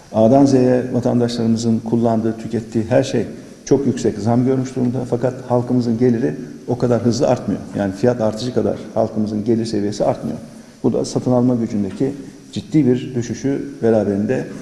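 With audible room echo around him, a man talks fairly quickly in a dark, mellow tone and fairly even intonation. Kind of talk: press statement. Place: meeting room. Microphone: podium.

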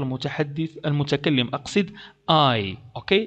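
Using a normal speaking voice, a man speaks at a moderate pace with lively intonation. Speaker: English language teacher, YouTuber. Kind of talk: tutorial.

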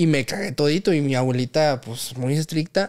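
The background is quiet as a man speaks at a moderate pace. His pitch is fairly high. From Mexico City, Santa Fe; Mexico City. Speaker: professional footballer; podcast guest. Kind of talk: casual chat. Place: home room. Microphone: studio mic.

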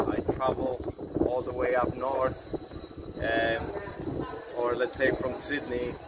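Over loud background noise, a man talks at a very slow pace. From Colombia. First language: Spanish. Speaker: travel vlogger. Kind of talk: casual monologue. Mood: relaxed and friendly. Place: open country. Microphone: phone near.

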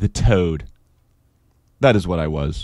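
Here a man speaks at a fairly slow pace. There is ordinary variation in his pitch. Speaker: audiobook narrator. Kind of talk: audiobook reading. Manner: casual, chatty intro and outro, then a steady literary read.

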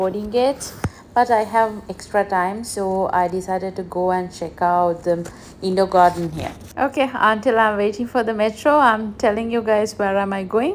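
A woman speaks at a moderate pace with fairly even intonation. Light background noise is present. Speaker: solo travel vlogger. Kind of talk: casual vlog chat. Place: station. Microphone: phone near.

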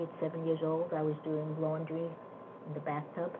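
A woman's very deep, low voice comes at a moderate pace in a flat monotone, with noticeable background noise behind it. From Germany. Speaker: Holocaust survivor. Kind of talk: interview answer. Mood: reflective, matter-of-fact. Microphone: video call.

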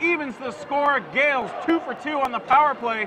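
Over noticeable background noise, a man speaks in a raised, projected voice with ordinary pitch variation. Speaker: play-by-play commentator. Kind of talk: live sports commentary (hockey play-by-play). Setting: hockey arena broadcast. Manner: fast, animated play-by-play delivery that swells with excitement on goals.

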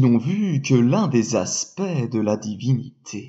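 A man speaks very slowly in a somewhat breathy voice with a soothing, gentle tone, his pitch swinging very widely. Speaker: sophrologist storyteller. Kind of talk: bedtime-style story telling, calm scripted narration of a fable. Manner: slow, soothing, gentle and measured.

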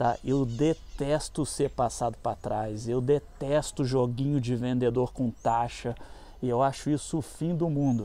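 A man with a dark, mellow tone at a medium pitch, fairly slow pace and fairly even intonation, in a dry sound with no echo. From Brazil. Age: 50s. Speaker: motorcycle YouTuber and off-road rider; motorcycle YouTuber. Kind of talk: casual product review vlog. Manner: casual, slangy. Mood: relaxed, opinionated. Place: street. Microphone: phone near.

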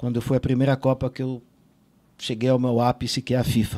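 A man's voice with a dark, mellow tone. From Israel and Brazil. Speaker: sports journalist. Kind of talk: interview. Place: studio. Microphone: studio mic.

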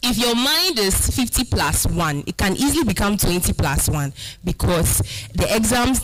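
A woman is talking while faint music sits in the background. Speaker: speaker. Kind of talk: motivational talk. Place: hall. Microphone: handheld.

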